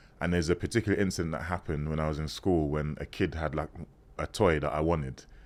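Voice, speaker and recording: Very deep and low, with vocal fry, a man's voice races at a very fast pace in a London accent, with fairly even intonation on a very clean recording with a silent background. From London, England (born in Ghana, moved at 6). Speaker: former model turned priest. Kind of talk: interview conversation. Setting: podcast recording. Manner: casual, hesitant with fillers.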